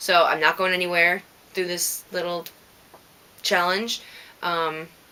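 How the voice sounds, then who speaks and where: A woman with an American accent speaks at a fairly low pitch and fairly slow pace in a monotone, flat way, with noticeable background noise. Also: long, frequent pauses. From Minnesota. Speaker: knitting podcaster. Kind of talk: casual podcast monologue. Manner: casual, many filler words.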